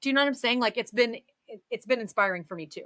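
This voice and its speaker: A woman talks at a very fast pace in a high pitch, her tone animated with very wide pitch swings. The sound is dry and close, with no echo. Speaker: podcast guest. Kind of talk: casual chat. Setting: live stream. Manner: loud.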